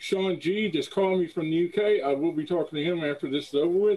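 A man with a high pitch, talking at a very fast pace. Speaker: show host. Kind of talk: casual show chat. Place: home room. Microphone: headset.

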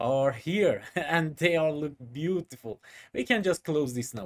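The background stays quiet. Speech from a man moves at a moderate pace. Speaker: software tutor. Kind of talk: tutorial.

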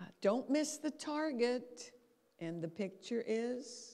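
A woman speaks with an American accent. Her tone is dark and mellow. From Canada, Calgary, Alberta, then New York from age 16; Alberta, Canada. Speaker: brain and habits lecturer; habits lecturer. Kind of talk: lecture. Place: hall. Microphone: handheld.

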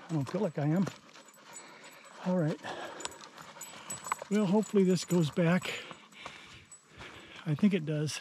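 At a moderate pace, a man talks with ordinary pitch variation in a dry sound with no echo, over light background noise. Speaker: outdoor vlogger. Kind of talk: casual vlog narration. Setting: outdoors. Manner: panting. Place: open country. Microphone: phone near.

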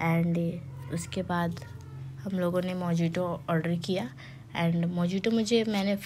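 Somewhat breathy, a woman's voice sits at medium pitch. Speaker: vlogger. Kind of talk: vlog voice-over. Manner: casual, halting.

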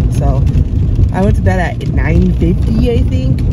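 A woman speaks at a very slow pace. The sound is dry with no echo, over loud background noise. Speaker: vlogger. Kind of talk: casual vlog chat. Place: car. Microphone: phone near.

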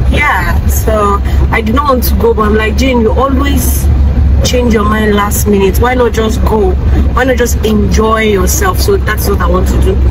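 A woman at a moderate pace, dry sound with no echo, loud background noise behind her. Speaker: vlogger. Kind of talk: casual vlog chat. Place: car. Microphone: phone near.

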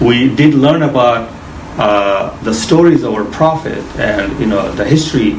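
The speech moves at a fairly slow pace with ordinary pitch variation, over light background noise and audible room echo. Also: man. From Bangladesh. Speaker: mortgage finance specialist. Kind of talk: interview explaining finance. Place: office. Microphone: camera far.

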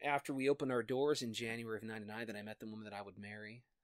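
Over a quiet background, the voice moves at a fairly quick pace with fairly even intonation and a bright, sharp tone. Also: man. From US Midwest (Iowa, raised in Minnesota). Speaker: actor and songwriter. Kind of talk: casual interview, personal testimony. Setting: home study, in person. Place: home room.

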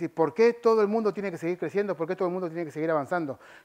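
A man speaks with an Argentine accent. The background is quiet. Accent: Argentine Spanish (voseo). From Argentina. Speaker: software engineer and conference speaker; conference speaker. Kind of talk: conference talk. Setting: stage with audience. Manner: fast. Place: hall. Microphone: headset.

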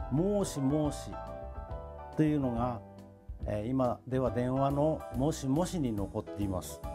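Over clear background music, a man of medium pitch speaks very slowly with very wide pitch swings. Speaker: local dialect researcher. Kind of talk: dialect explanation. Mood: warm, smiling. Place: home room.

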